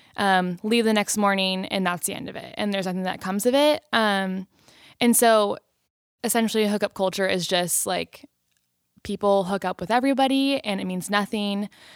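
The recording is very clean, with a silent background. A woman with an American accent speaks at a medium pitch and moderate pace, with ordinary pitch variation in an unremarkable speaking voice. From Southern California. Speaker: college student. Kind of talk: casual chat.

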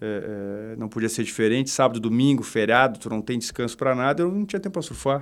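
A man speaks very fast at a medium pitch, with ordinary pitch variation and hardly any pauses. The recording is very clean, with a silent background. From southern Brazil, Porto Alegre. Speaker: real estate company director. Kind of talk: podcast interview. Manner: halting, many repetitions.

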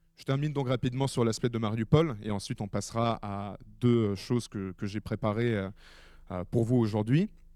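A man's medium-pitched voice with a dark, mellow tone, in a very clean recording with a silent background. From Ukraine. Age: 20s. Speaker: war reporter. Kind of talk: public talk.

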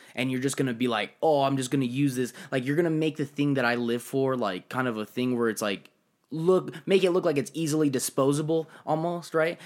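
A man talks in an ordinary speaking voice of medium pitch, fairly quick, with ordinary pitch variation. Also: very clean recording, silent background. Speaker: guest. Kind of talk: casual chat.

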